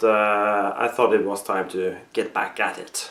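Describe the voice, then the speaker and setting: Someone speaks with a Norwegian accent over noticeable background noise. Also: man. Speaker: costume maker. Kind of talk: tutorial. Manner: halting, many pauses.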